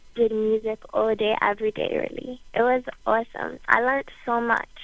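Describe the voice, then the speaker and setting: In a Bermudian accent, a woman speaks at a fairly high pitch. Her intonation is fairly even. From Bermuda. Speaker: singer-songwriter. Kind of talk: interview.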